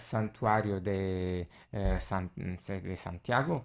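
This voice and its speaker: A man with an Italian accent on a very clean recording with a silent background. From Italy. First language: Italian (speaking Spanish). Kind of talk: radio interview testimony. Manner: halting, many filler sounds.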